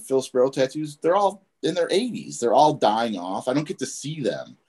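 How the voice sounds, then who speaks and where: A man with a Chicago accent, fairly high-pitched, with lively intonation. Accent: Chicago American. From Chicago, US Midwest. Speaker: tattoo artist, shop owner. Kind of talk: casual interview.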